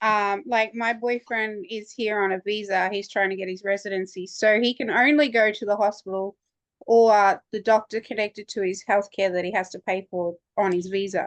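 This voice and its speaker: In an Australian accent, a woman talks at a moderate pace with a medium pitch and fairly even intonation, recorded dry and close with no echo. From Australia, Townsville. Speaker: student. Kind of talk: online workshop discussion.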